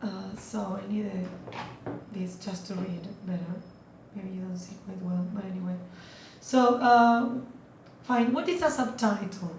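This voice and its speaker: A woman of medium pitch with a non-native accent speaks at a fairly slow pace with long, frequent pauses and big swings in loudness, amid audible room echo and noticeable background noise. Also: ordinary pitch variation. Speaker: student giving a class presentation. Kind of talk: presentation. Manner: halting, many fillers.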